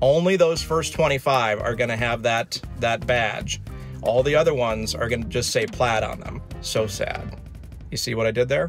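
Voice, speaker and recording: A man's voice sounds dry with no echo, while clear music plays in the background. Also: moderate pace. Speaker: channel host. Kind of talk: casual vlog chat. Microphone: phone near.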